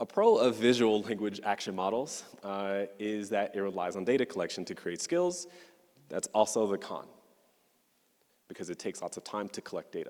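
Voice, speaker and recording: A man with a fairly low pitch speaks with lively intonation. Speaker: neuroscientist giving a conference talk. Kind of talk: conference talk. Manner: fast; hesitant with frequent uh fillers.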